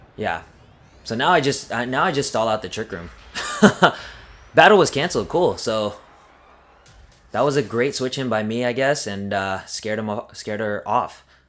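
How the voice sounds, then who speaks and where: With music in the background, a man speaks at medium pitch and a moderate pace, with lively intonation and long, frequent pauses. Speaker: gaming youtuber. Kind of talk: live gameplay commentary. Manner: hesitant, many fillers and restarts.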